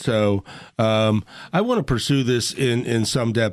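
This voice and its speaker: A man with an ordinary speaking voice talks at a medium pitch, his intonation fairly even. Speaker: radio host. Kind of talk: radio interview. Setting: studio.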